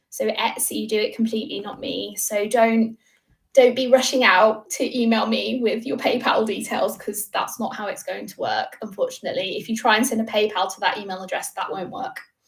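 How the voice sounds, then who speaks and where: A woman's fairly quick speech with big swings in loudness. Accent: British. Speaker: crochet designer and YouTuber. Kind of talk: livestream Q&A. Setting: livestream from home. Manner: fast.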